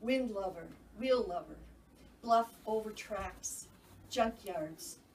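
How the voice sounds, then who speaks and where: With an American accent and a fairly high pitch, a woman speaks at a very slow pace with ordinary pitch variation and audible room echo. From Minnesota, Saint Paul. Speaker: poet. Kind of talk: casual chat; poetry reading. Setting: stage with audience. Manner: loud.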